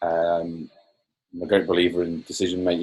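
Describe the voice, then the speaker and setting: This man has a very deep, low pitch. His tone is dark and mellow, and somewhat breathy. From Northern Ireland. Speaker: coaching client. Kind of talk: interview. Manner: halting.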